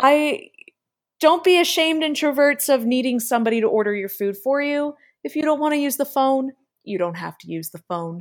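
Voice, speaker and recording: With very wide pitch swings, a woman talks at a fairly quick pace in a high voice on a very clean recording with a silent background. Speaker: podcast co-host, actor and writer. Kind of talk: casual chat.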